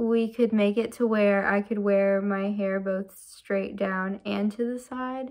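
Fairly even intonation marks this woman's fairly slow delivery. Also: quiet background. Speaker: vlogger. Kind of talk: casual vlog chat. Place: home room.

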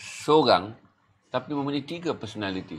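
The pace is fairly slow. A man speaks at a fairly high pitch. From Malaysia. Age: 50s. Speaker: talk show host; interviewer host. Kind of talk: interview. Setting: studio. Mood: earnest, probing. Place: studio. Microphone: lapel.

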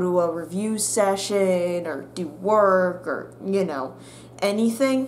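A woman of medium pitch at a fairly slow pace, with light background noise. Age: young. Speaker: YouTuber and college student; YouTuber. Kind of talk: casual vlog monologue. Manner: animated. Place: home room. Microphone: webcam.

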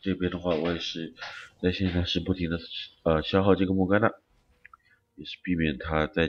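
Monotone and flat, a man's very deep, low voice moves at a fairly quick pace. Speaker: game streamer commentator. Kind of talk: gameplay commentary video.

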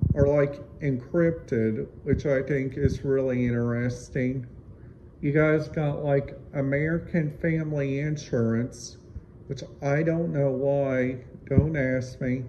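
Over noticeable background noise, a man talks very slowly in a somewhat breathy voice with fairly even intonation. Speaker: radio scanner hobbyist. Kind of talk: casual vlog chat. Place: home room. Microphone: phone near.

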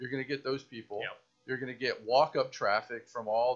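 Against a quiet background, a man with an American accent talks at a fairly quick pace, his medium pitch showing ordinary variation. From Tampa, Florida; Florida. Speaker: podcast co-host. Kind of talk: casual chat. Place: home room. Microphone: studio mic.

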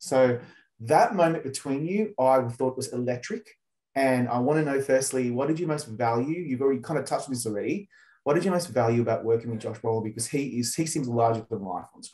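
In an Australian accent, the speaker goes at a fairly quick pace with ordinary pitch variation and a dark, mellow tone over a quiet background. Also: man. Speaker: entertainment journalist interviewer. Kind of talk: interview. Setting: video call. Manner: animated. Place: home room. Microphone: video call.

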